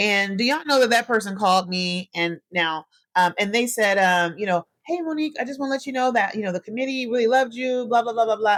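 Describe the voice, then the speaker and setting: A woman speaks very fast in a fairly high voice with lively intonation and an animated tone. The sound is dry and close with no echo, a very clean recording with a silent background. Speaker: podcast host. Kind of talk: solo podcast monologue. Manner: animated, addresses listeners as y'all.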